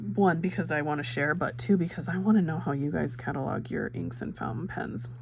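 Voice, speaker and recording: This woman has a very deep, low pitch and vocal fry, speaking at a moderate pace. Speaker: fountain pen hobby vlogger. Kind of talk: casual vlog talk, ink swatching. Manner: chatty, many fillers (um, uh).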